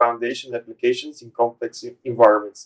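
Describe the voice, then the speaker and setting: At a fairly quick pace, a man talks in a Portuguese accent with a monotone, flat intonation. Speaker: podcast host. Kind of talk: interview. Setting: studio. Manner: halting.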